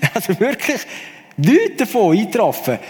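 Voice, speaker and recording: Male speech, moderately paced, against noticeable background noise. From Switzerland. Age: 40s. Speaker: musician. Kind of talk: testimony.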